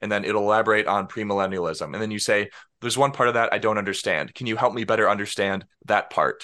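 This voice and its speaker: A man's fairly low, bright and sharp voice at a very fast pace, with fairly even intonation and a quiet background. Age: 20s. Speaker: software developer. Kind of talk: interview.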